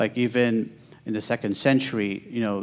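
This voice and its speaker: Fairly low in pitch, a man with an American accent speaks with fairly even intonation. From United States. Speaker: Islamic teacher. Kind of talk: answer to audience question. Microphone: handheld.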